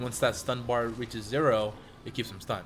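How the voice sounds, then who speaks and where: At a fairly quick pace, a man talks at a medium pitch with monotone, flat intonation. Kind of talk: casual gaming commentary. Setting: home studio.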